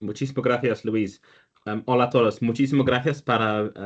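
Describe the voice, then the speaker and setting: The intonation stays fairly even. The speaker has a non-native accent. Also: man. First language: not Spanish (speaking Spanish). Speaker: structural engineer. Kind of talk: technical presentation. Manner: halting with false starts.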